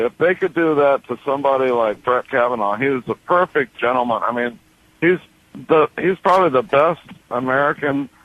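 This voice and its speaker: At a moderate pace, a man speaks in a plain, everyday voice, fairly high-pitched with ordinary pitch variation. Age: 60s. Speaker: caller, war veteran. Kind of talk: phone-in call.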